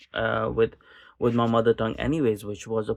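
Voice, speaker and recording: A man speaks with a Pakistani accent. The background is quiet. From Pakistani expat community in Kuwait, Gulf. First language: Urdu. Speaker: political podcaster. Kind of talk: casual monologue. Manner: halting, many repetitions and fillers.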